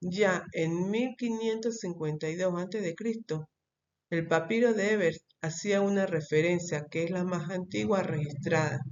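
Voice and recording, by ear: At a moderate pace, a woman talks in a fairly low, slightly mellow voice with ordinary pitch variation.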